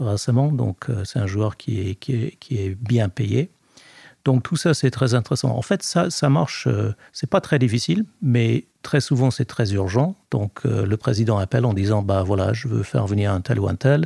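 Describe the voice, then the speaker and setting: A man with a medium-pitched, dark, mellow voice and vocal fry speaks at a fairly slow pace with lively intonation. The sound is dry and close, with no echo, and the recording is very clean with a silent background. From Scotland. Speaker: sports lawyer. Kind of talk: interview. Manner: hesitant, many fillers.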